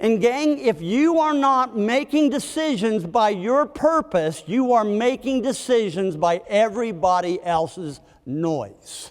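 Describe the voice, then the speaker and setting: A high-pitched man with an American accent, fairly slow yet with hardly any pauses, very wide pitch swings and very even loudness, on a very clean recording with a silent background. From West Virginia. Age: 60s. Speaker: leadership speaker. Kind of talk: motivational talk to live audience. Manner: animated.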